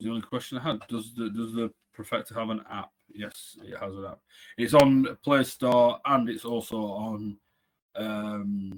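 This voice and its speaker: This man talks at a fairly slow pace and a medium pitch, his intonation fairly even while his loudness swings widely. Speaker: product trainer. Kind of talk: webinar presentation. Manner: halting.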